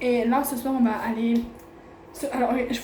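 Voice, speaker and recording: Background noise is noticeable here. An echo from the room can also be heard. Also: woman. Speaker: travel vlogger. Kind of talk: casual vlog talk to camera. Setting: eating at a restaurant while filming. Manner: fast; chatty, animated.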